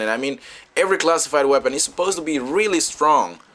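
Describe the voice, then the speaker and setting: Over noticeable background noise, a man in a Spanish accent talks very fast with lively intonation. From Dominican Republic. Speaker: gaming YouTuber. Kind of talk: gameplay commentary. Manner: halting, many fillers.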